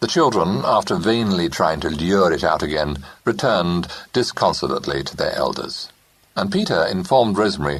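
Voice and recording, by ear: Reading aloud in a natural voice, nothing more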